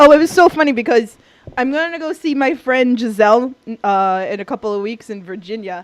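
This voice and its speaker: A woman speaks with a New York accent at a high pitch. Her intonation is lively and her pace fairly quick. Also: big swings in loudness. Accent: New York (Queens). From New York City, Queens. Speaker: podcast co-host. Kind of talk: casual chat.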